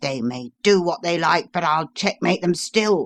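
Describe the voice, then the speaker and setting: Put on as a character voice, the speech sits at a middle pitch and moves at a moderate pace. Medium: read story.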